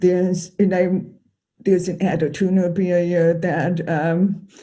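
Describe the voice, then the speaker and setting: The speaker has an American accent. The pace is fairly slow. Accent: deaf. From US Midwest, Chicago. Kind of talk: conference panel talk. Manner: halting, many fillers.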